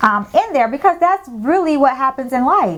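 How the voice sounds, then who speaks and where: A woman's loud, high voice with an American accent, animated tone, lively intonation and moderate pace. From US South, Tampa, Florida. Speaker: lifestyle vlogger. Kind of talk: casual monologue.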